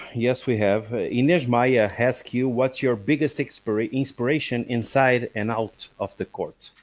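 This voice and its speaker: A man with a Portuguese accent speaks at a fairly slow pace with hardly any pauses, medium pitch and fairly even intonation. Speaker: co-host and stream producer. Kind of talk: live-streamed interview.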